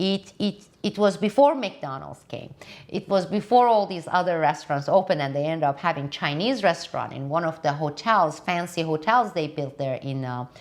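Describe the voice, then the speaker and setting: A woman with a non-native accent, fairly low pitch and lively intonation over a quiet background. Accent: foreign. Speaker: political commentator. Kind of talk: casual monologue. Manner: deliberately slow.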